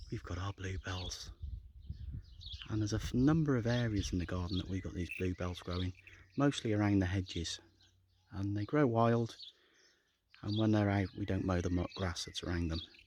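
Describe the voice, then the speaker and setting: Speaking with a Shropshire accent at a moderate pace, the voice shows ordinary pitch variation and long, frequent pauses. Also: man, fairly low pitch for a man. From England, Shropshire. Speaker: gardening vlogger. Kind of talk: casual walk-and-talk garden tour. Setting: outdoors in garden.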